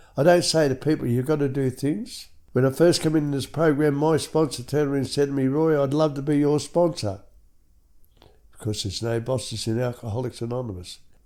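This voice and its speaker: The voice has a dark, mellow tone. It moves along at a fairly quick pace. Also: man. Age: 70s. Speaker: recovering alcoholic sharing his story, former truck driver. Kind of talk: testimony.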